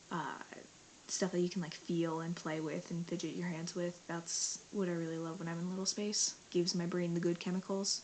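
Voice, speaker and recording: A woman speaks with fairly low pitch in a monotone, flat delivery. Noticeable background noise runs beneath her. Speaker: vlogger. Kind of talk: casual vlog monologue. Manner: fast.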